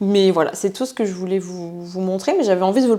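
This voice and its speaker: With a dark, mellow tone, a woman talks at a very fast pace, her medium pitch showing ordinary variation. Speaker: vlogger and sports/nutrition coach. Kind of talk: casual vlog talk to camera. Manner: animated, with many hesitations.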